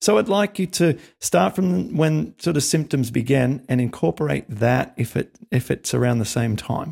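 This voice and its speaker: Over a dry, close sound with no echo, a man speaks at medium pitch with vocal fry, very wide pitch swings, a moderate pace and hardly any pauses. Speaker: podcast host. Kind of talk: interview. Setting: video call. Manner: animated.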